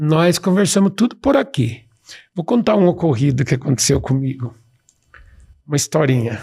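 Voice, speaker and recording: Somewhat breathy, dark and mellow speech at a moderate pace, lively in intonation, very even in loudness, broken by long, frequent pauses. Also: man, fairly high pitch for a man. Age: 60s. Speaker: professor and speaker. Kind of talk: podcast interview. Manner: animated.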